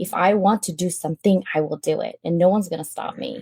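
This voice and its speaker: A woman with a Filipino accent speaks in a dark, mellow, somewhat breathy tone with lively intonation. The sound is dry and close, with no echo. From Philippines. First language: Filipino language. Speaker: public speaker. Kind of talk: interview storytelling. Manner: animated.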